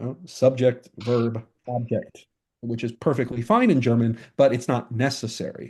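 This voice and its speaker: Over a quiet background, a man with an American accent speaks somewhat breathily at medium pitch and a moderate pace, with fairly even intonation and big swings in loudness. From English-speaking country. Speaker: philosophy professor. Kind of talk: interview. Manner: halting, many fillers and repeats.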